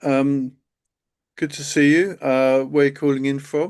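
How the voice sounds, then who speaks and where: Against a quiet background, a man with a medium pitch talks at a moderate pace. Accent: southern English. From England, Kent. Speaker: accountant and CFO hosting a live webinar. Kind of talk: live webinar presentation. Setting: live stream video call. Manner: hesitant, many fillers.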